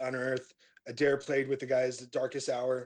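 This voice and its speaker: A man with an American accent talks at a medium pitch. His pace is very fast. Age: 30s. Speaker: metal band vocalist. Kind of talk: casual interview.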